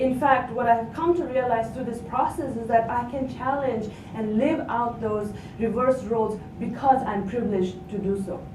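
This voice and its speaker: A woman's fairly high voice at a moderate pace, ordinary pitch variation, audible room echo and noticeable background noise. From Nepal. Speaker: academic researcher. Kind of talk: conference panel presentation. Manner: halting, many fillers.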